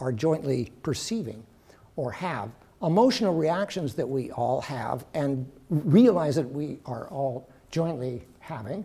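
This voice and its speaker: In a Western American accent, a man with a dark, mellow tone talks at a fairly slow pace with very wide pitch swings. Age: middle-aged. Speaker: professor. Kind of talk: lecture.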